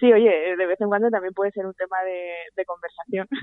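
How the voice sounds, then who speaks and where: Fairly even intonation and a moderate pace in a woman's voice of medium pitch. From Spain, Zaragoza (Aragon). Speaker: journalist and podcast director. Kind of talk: casual interview chat. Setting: remote call from home. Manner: hesitant, many repetitions.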